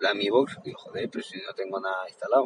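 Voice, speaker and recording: A man's voice in a dry, close sound with no echo, amid noticeable background noise. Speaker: tech youtuber. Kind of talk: tutorial. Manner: halting.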